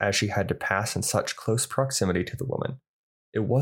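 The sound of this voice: An unforced reading voice with ordinary pitch variation sits against a quiet background.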